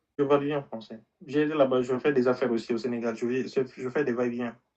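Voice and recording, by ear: Fast and with little pitch movement, a man at a medium pitch speaks in a slightly mellow tone.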